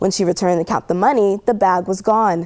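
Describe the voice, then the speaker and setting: A woman with a plain, everyday voice speaks at a medium pitch. She moves at a fairly quick pace with ordinary pitch variation. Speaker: television news anchor. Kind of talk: TV news anchor read.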